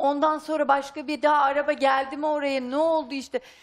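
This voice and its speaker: Her pitch high and her intonation monotone and flat, a woman talks at a fairly quick pace. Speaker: wife of a missing man. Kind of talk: emotional testimony. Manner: halting, uncertain.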